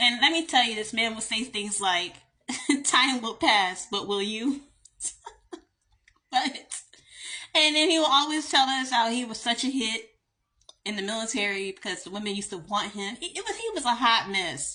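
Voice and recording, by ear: A woman speaks in a Southern US accent with a fairly high pitch and a bright, sharp tone. Her pace is moderate and her intonation lively.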